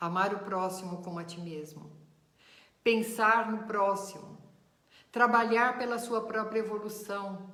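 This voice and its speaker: This woman speaks at a medium pitch in a warm tone, with fairly even intonation and big swings in loudness. Her pace is fairly slow, broken by long, frequent pauses. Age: 60s. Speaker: spiritist teacher. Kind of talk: lecture. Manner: warm, conversational.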